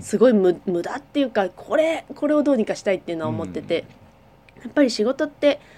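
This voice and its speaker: A woman with a fairly high voice talks very fast, her pitch swinging very widely. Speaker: podcast co-host, dancer and company president. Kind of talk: casual chat.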